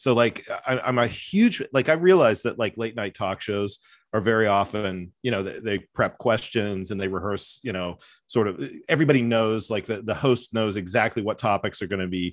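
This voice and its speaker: Against a quiet background, a man with an ordinary speaking voice talks at a moderate pace, his pitch fairly low and his pitch variation ordinary. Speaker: professor and podcast host. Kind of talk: casual chat.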